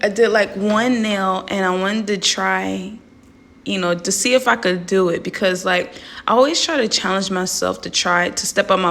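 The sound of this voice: Raspy with vocal fry, a woman speaks at a medium pitch and moderate pace, her tone fairly bright and her intonation fairly even.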